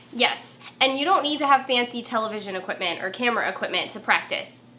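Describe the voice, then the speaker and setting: Talking at a very fast pace in a Southern California accent, a woman uses a high pitch, ordinary pitch variation and an animated tone. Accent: Valley girl way of talking. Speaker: former TV reporter turned marketer. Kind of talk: tutorial.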